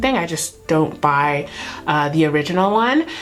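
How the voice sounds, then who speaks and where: A woman with an American accent talks at a fairly slow pace. Noticeable background noise and audible room echo fill the recording. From California. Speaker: beauty YouTuber. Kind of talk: makeup tutorial. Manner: casual, chatty.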